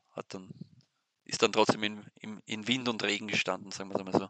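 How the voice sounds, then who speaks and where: A man at a moderate pace with a fairly low pitch. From Austria, Weinviertel (Lower Austria). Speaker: sports newspaper editor. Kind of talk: interview. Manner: halting, many repetitions.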